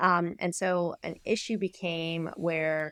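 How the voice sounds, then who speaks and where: The sound is dry and close with no echo as a woman speaks in a fairly low, monotone, flat voice. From Canada, near Niagara Falls. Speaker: sports medicine doctor. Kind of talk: podcast interview.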